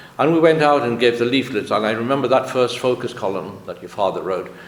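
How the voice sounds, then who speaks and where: A man is speaking. Noticeable background noise and audible room echo surround him. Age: 70s. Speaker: author. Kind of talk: interview.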